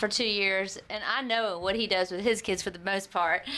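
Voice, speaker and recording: A woman speaks in an animated tone at a moderate pace. Noticeable background noise runs underneath. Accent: American. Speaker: podcast host. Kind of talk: casual chat. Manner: loud.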